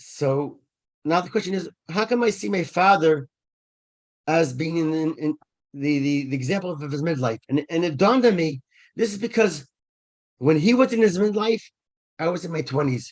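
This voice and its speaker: The intonation is lively. Long, frequent pauses break up the speech. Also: man, high pitch for a man, moderate pace, quiet background. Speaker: event speaker. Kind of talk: talk to online audience. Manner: halting, many repetitions.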